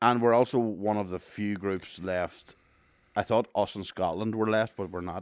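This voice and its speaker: On a very clean recording with a silent background, a man speaks with a Northern Irish accent at a fairly low pitch. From Northern Ireland. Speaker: podcast co-host. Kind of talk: casual chat. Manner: animated.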